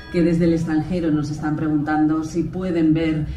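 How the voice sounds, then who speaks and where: Faint music plays in the background, and the room echo is audible. A woman speaks at a moderate pace with a very deep, low pitch. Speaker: presenter. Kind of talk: formal event presentation. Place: stage.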